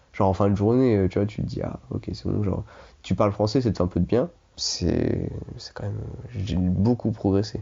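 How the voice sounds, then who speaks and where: This man's voice sits at a fairly low pitch and sounds somewhat breathy. His pitch varies in an ordinary way. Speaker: former exchange student. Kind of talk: casual chat. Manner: fast.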